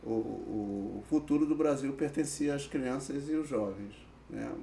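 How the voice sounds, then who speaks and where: This man talks at a very slow pace. His pitch sits in the medium range and varies in an ordinary way. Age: 60s. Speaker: social worker with youth offenders. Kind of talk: podcast interview. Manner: hesitant, many fillers.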